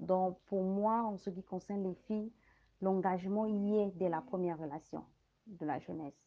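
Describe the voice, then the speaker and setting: A woman with a plain, everyday voice, medium pitch, fairly even intonation and a moderate pace. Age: 30s. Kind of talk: panel discussion.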